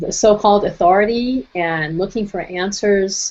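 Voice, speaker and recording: In a plain, everyday voice, a woman of medium pitch speaks at a fairly slow pace. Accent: American. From Brooklyn, New York. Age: 60s. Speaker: nutrition and wellness speaker. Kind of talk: webinar presentation. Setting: online webinar.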